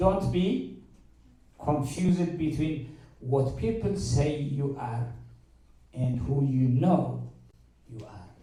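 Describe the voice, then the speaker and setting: Room echo is audible as a man with a strong African accent speaks with lively intonation. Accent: heavy African. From Eritrea. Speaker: university mathematics lecturer speaking to students. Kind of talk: motivational talk to students.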